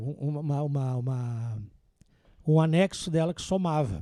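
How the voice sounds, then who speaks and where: He speaks in a southern Brazilian accent. His tone is dark and mellow, with ordinary pitch variation. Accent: gaúcho Brazilian Portuguese. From southern Brazil, interior of Rio Grande do Sul (Vacaria). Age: 60s. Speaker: accountant and auditor. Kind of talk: podcast interview.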